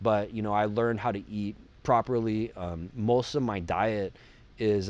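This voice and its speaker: This man has a normal speaking voice, set at a fairly low pitch and delivered at a moderate pace. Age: 40s. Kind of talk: casual chat.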